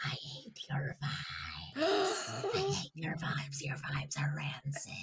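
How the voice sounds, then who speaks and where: The speaker uses a put-on character voice at a low-to-middle pitch. The delivery is fairly slow. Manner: flat, hostile.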